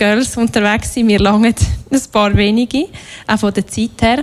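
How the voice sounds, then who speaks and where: At a moderate pace, a woman uses an unremarkable speaking voice with ordinary pitch variation. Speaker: workshop leader. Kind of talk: workshop talk.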